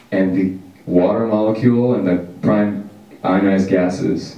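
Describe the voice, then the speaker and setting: A man with an American accent speaks at a fairly slow pace, his pitch fairly low and his intonation flat and monotone. His loudness stays very even, and the room echo is audible. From Washington, US. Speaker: podcast co-host. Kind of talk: casual chat.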